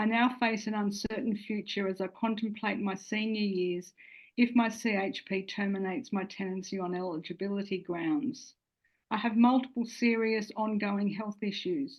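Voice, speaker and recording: With an Australian accent, a woman talks at a moderate pace in a medium pitch, her intonation fairly even. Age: 60s. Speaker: social housing tenant giving testimony. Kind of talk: testimony. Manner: formal.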